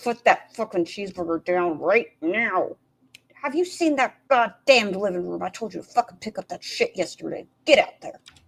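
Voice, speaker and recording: A female-sounding, put-on character voice at medium pitch for a woman. The pace is moderate. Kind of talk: crude, profane. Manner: scolding, bossy.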